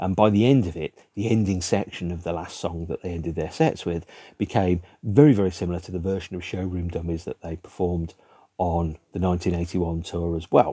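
Against a quiet background, a man with a British accent speaks in a very deep, low pitch. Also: fairly even intonation, fairly quick pace. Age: 50s. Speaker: music video blogger. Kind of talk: solo monologue to camera about a record album. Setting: home room with record shelves behind. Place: home room.

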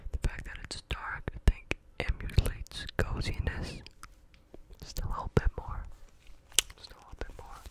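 A soft-spoken man whispers at a moderate pace, the sound dry with no echo despite loud background noise. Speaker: ASMR creator. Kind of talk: soft casual ASMR chat. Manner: soft close-mic ASMR whisper. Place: home room. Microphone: studio mic.

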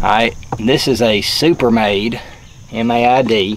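A man speaks at a fairly low pitch with a fairly bright tone. Faint noise sits in the background.

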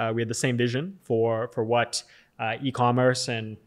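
In a Californian accent, a man talks at a moderate pace with fairly even intonation. The background is quiet. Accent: American (Californian). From Southern California, US. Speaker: tech company founder and CEO; podcast guest. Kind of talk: interview. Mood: calm, thoughtful. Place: studio. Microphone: studio mic.

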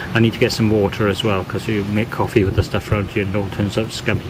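A man speaks at a very fast pace with a fairly low pitch. Background noise is noticeable. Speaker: holiday vlogger. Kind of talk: casual vlog chat. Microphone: phone near.

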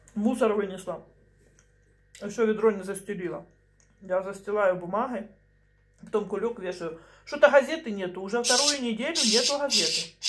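Long, frequent pauses break up a woman's speech at a moderate pace. Her intonation is lively over light background noise. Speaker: home vlogger. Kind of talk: casual vlog chat. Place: kitchen. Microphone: phone near.

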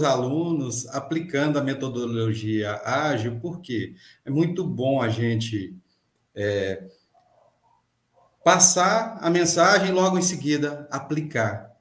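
The speech is very slow, with long, frequent pauses and a somewhat breathy quality. Room echo is audible. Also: man. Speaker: podcast guest, mechanics teacher. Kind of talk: interview answer. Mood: friendly, smiling. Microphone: webcam.

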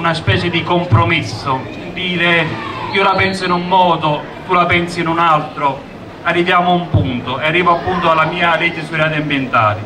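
Noticeable background noise lies under a man speaking at a high pitch with ordinary pitch variation. He keeps a moderate pace but leaves long, frequent pauses. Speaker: politician at a rally. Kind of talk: political rally speech. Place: street. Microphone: handheld.

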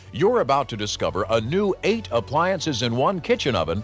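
With music in the background, a man keeps a moderate pace while his pitch swings very widely. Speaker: announcer. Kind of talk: infomercial voice-over narration.

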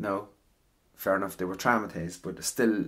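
A man's fairly low voice in an Irish accent, with vocal fry and a fairly quick pace. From Ireland. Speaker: ASMR voice actor. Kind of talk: casual rambling talk.

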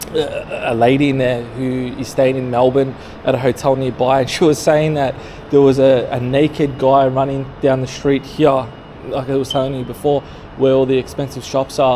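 Monotone, flat intonation over light background noise. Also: man, moderate pace. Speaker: street vlogger. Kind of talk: casual vlog chat. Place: street. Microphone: phone near.

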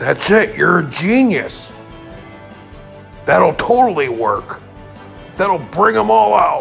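With clear music in the background, a man does a cartoonish character voice at a fairly slow pace. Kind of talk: crude comedy cartoon. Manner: brash, defensive, profane.

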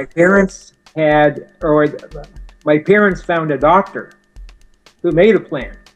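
Pitched fairly high, a man speaks at a fairly slow pace with long, frequent pauses and ordinary pitch variation. His loudness swings widely, with faint music in the background. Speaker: motivational speaker. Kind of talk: interview answer. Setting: phone line. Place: home room. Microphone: video call.

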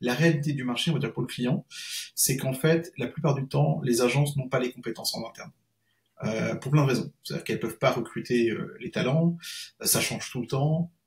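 Over a quiet background, a man talks in a somewhat breathy voice with ordinary pitch variation. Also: fairly quick pace. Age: 40s. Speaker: freelance SEO consultant; guest. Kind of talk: interview. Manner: halting. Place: home room.

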